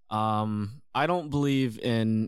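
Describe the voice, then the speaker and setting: A man talks in a normal speaking voice at a fairly low pitch, with ordinary pitch variation. The recording is very clean, with a silent background. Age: 20s. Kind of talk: casual chat.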